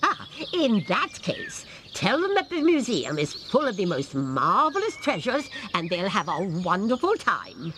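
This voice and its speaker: A cartoonish character voice at a fairly high pitch and moderate pace, with clear background noise. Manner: brisk, authoritative.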